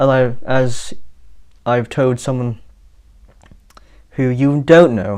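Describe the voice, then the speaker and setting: At a very slow pace, a man speaks. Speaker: YouTuber and amateur musician. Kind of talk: casual update monologue to camera. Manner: halting, many false starts and fillers; slow-paced.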